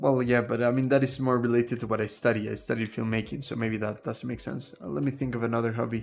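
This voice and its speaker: With music in the background, a man talks very fast at a medium pitch, his intonation fairly even and hardly any pauses. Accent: Spanish. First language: Spanish. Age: 20s. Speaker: streamer and productivity course creator. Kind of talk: live stream Q&A chat. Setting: live stream. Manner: casual, hesitant with repetitions.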